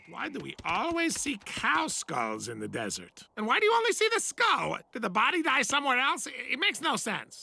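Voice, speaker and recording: A man uses a cartoonish character voice at an extremely high pitch. He talks in a raised, projected voice at a moderate pace. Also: hardly any pauses. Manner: rambling, chatty, self-pitying.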